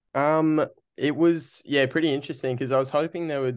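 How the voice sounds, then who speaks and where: Speaking with an Australian accent over a quiet background, a man keeps his intonation fairly even. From Australia, Brisbane. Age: 20s. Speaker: amateur runner. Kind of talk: casual interview.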